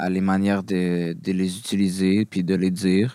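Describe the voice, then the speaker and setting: A man with a Quebec accent talks at a fairly low pitch. The recording is very clean with a silent background, dry and close with no echo. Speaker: rapper. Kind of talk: casual chat.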